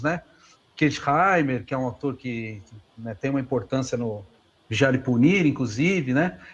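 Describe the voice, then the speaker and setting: Lively intonation runs through speech delivered at a moderate speed. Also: man. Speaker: philosophy professor. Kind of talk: lecture Q&A answer. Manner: halting, many fillers.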